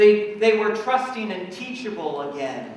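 Strong room echo surrounds a man with a high voice. He speaks at a fairly slow pace. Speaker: pastor. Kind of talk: sermon. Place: church.

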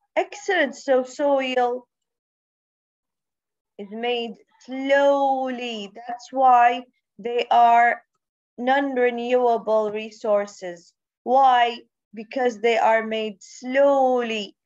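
A woman speaks very slowly in a high voice, her loudness swinging widely, with long, frequent pauses. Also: ordinary pitch variation, quiet background. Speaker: primary school teacher. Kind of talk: online class lesson. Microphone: video call.

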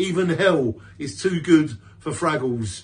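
A man with a British accent speaks at a fairly high pitch, his intonation lively and varied. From UK. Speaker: poet. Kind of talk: poetry reading, spoken word. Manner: defiant, punchy and emphatic; earnest, declamatory with repeated stresses. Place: home room. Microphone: phone near.

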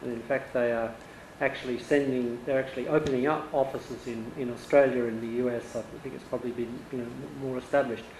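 A man speaks very fast in a monotone, flat intonation, with audible room echo and light background noise. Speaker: audience member. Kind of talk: Q&A question. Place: home room. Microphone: handheld.

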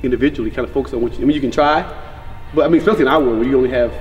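Delivered at a very fast pace with ordinary pitch variation, the speech has faint music in the background. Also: man. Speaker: basketball coach. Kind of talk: casual conversation. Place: hall. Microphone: camera far.

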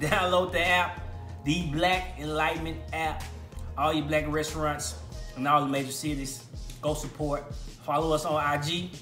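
Clear music plays behind a man who talks at a fairly slow pace amid audible room echo. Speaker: food reviewer. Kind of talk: casual vlog chat. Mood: enthusiastic, relaxed. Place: kitchen. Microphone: phone near.

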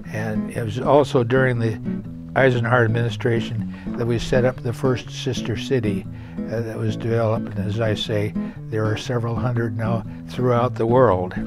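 Clear music plays behind a man speaking at a moderate pace. The sound is dry with no echo. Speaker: former mayor. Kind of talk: casual talk to camera. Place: home room.

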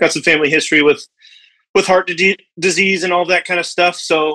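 Here a man speaks in a bright, sharp tone. The background is quiet. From US West. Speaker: caller, restaurant owner. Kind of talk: casual chat. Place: home room. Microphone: video call.

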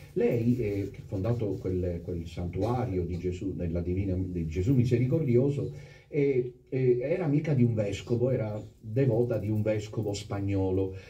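A fairly slow, somewhat breathy delivery with a dark, mellow tone, lively intonation and audible room echo. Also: man, fairly low pitch for a man. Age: 50s. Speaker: priest. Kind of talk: sermon. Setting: chapel with congregation. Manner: animated.

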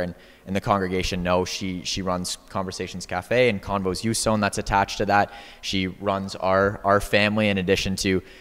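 A man talks at a fairly quick pace in a fairly low pitch, his intonation monotone and flat. Music plays in the background. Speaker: guest. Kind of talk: panel discussion answer. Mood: warm, appreciative. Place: church. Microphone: handheld.

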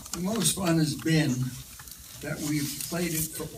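A man is talking here. Loud background noise runs behind him. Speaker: comedian and actor. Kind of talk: Q&A answer after film screening. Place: hall. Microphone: handheld.

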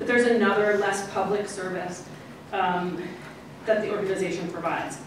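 Heard with strong room echo and noticeable background noise, a woman of medium pitch speaks in a monotone, flat way. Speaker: archivist and former history professor. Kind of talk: conference talk. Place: hall.

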